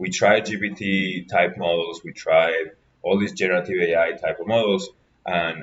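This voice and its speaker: A man talks with an Argentine accent. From Argentina. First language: Spanish. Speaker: graduate researcher and lecturer. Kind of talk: workshop lecture.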